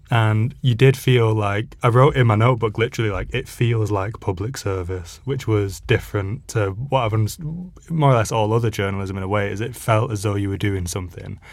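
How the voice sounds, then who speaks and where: Fairly low in pitch and somewhat breathy, a man talks at a fairly quick pace with hardly any pauses. His pitch variation is ordinary, and the recording is very clean with a silent background. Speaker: journalist. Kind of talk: casual interview chat.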